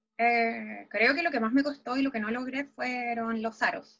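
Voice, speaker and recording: A woman's voice is high in pitch. She talks at a moderate pace. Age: 20s. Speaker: law student and dancer. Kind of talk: casual interview.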